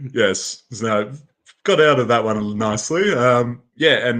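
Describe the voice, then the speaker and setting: A man speaks with an Australian accent in a bright, sharp tone. His pitch varies in an ordinary way. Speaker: game event crew member and player. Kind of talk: interview.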